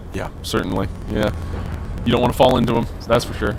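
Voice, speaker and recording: A man speaks in a room with audible echo. Music plays in the background. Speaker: esports caster. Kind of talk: live commentary. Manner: animated.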